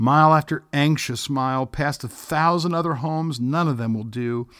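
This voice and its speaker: Pitch varies in an ordinary way as a man with an unremarkable speaking voice talks at a moderate speed. The background is silent and the recording very clean. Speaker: podcast host and pastor. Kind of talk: poem reading. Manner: gentle, measured.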